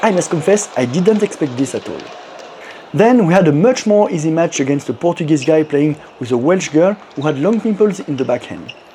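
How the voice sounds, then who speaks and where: Talking at a fairly quick pace with lively intonation, a man with a French accent and a fairly high voice is heard over noticeable background noise. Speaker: amateur table tennis player. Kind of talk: personal vlog narration.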